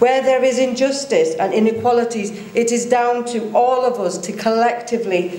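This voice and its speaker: Speaking at a moderate pace with ordinary pitch variation, a woman is heard with audible room echo around her voice. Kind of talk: speech. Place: hall. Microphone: podium.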